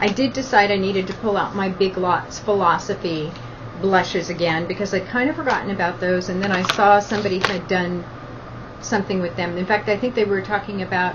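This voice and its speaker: A woman of medium pitch speaks at a fairly quick pace with ordinary pitch variation, noticeable background noise behind her. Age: 50s. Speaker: beauty vlogger. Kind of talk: casual product talk to camera. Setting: at the beach.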